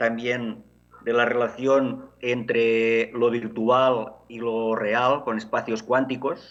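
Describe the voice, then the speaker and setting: A man talks with a Catalan accent. His pitch is medium. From Catalonia, Barcelona area. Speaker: education technology academic. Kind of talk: conference talk. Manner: halting, many fillers.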